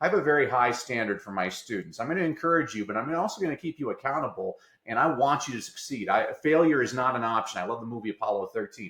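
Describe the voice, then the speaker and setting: Speaking with an American accent, a man of medium pitch talks at a very fast pace with lively intonation. He leaves hardly any pauses, and noticeable background noise can be heard. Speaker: educator and motivational speaker. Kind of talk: interview. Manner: fast when excited; mild stutter.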